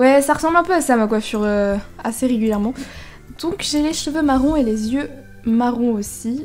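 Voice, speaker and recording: A woman's high-pitched voice at a moderate pace with ordinary pitch variation, with music in the background. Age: young. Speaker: gaming YouTuber. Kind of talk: casual gameplay commentary.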